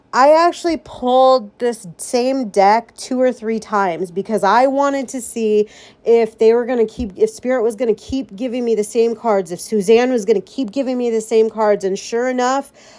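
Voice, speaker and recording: Speaking at a moderate pace with hardly any pauses, a woman uses a fairly high pitch and ordinary pitch variation. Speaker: psychic medium podcast host. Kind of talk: solo podcast reading tarot cards. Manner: animated, intense energy.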